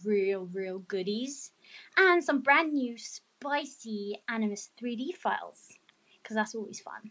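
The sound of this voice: A woman's fairly high pitch and fairly bright tone, slow pace, and ordinary pitch variation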